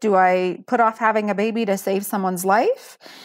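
On a very clean recording with a silent background, a woman at medium pitch uses a normal speaking voice. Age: 40s. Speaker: bone marrow donor. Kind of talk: personal testimony in interview.

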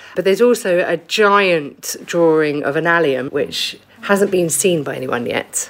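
A woman with a fairly low pitch talks at a fairly slow pace with hardly any pauses and ordinary pitch variation, while noticeable background noise runs underneath. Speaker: basket maker. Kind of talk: casual interview. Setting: workshop.

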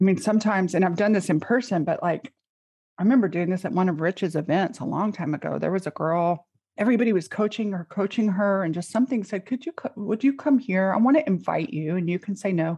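Somewhat breathy, a woman talks at a very fast pace. Her medium pitch shows ordinary variation. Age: 40s. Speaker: coach. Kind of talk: casual chat.

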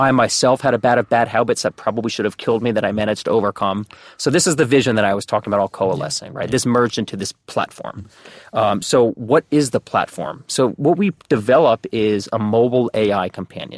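A man with a New Jersey accent at medium pitch, very fast, with ordinary pitch variation and a dry, close sound with no echo. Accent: New Jersey American. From New Jersey, US. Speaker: startup executive. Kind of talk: casual interview.

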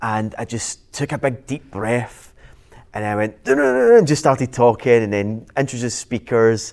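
On a very clean recording with a silent background, a man with a Glaswegian accent talks at a moderate pace, medium pitch and fairly even intonation. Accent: Glaswegian Scottish. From Scotland, Glasgow. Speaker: business and property coach. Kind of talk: casual interview chat.

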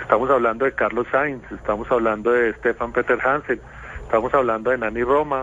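Here a man talks at a fairly quick pace. His medium pitch carries a monotone, flat intonation. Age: 40s. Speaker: rally driver and dentist. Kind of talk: radio interview. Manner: halting, with frequent repetitions.

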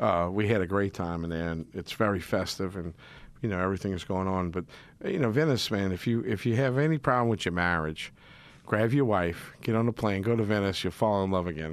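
A man talks at a fairly low pitch and a fairly quick pace, with ordinary pitch variation. The recording is very clean, with a silent background. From New Orleans, Metairie. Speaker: chef, fill-in radio host. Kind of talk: casual radio talk. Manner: animated.

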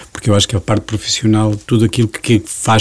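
Noticeable background noise runs under the clip. A man talks at a fairly quick pace. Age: 50s. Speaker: business association director. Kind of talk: interview.

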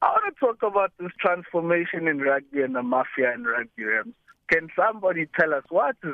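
The speaker has an ordinary speaking voice with lively intonation. The pace is moderate. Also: man. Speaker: caller. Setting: phone call.

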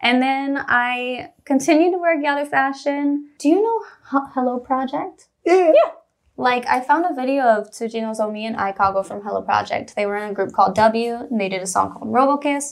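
Lively intonation runs through this speech. It is delivered with an American accent. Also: woman. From US Midwest, Missouri. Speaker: rapper and YouTuber. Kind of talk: casual chat. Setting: studio. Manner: fast.

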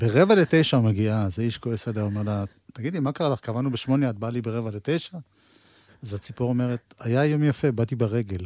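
A man's medium-pitched voice at a very fast pace, with ordinary pitch variation. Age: 60s. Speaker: music show host. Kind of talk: casual interview; storytelling.

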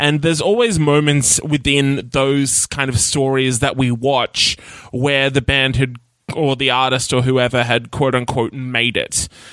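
With an Australian accent, a man speaks at a fairly slow pace and keeps his intonation fairly even. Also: medium pitch for a man, very even loudness. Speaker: podcast host. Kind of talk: casual interview.

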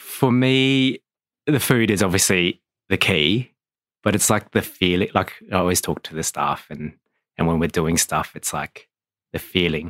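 With a very deep, low pitch, a man speaks in lively intonation, leaving long, frequent pauses. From Australia (Adelaide). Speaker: restaurant owner. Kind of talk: interview. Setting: studio.

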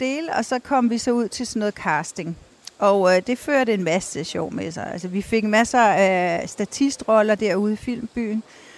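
In an ordinary speaking voice, a woman talks at a fairly slow pace and fairly high pitch, with hardly any pauses and ordinary pitch variation. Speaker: TV foreign correspondent and author. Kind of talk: interview. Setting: outdoors on a city square.

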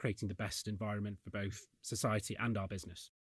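A somewhat breathy man speaks at a fairly quick pace with a fairly low pitch and monotone, flat intonation. The recording is very clean, with a silent background. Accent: Yorkshire. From Yorkshire, northern England. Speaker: accounting firm chief executive. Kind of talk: panel discussion.

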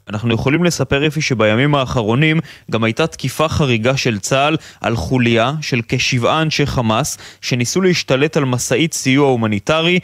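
Recorded dry and close with no echo, a man with a normal speaking voice talks at a moderate pace and medium pitch, with very even loudness and ordinary pitch variation. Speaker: military correspondent. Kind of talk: news report.

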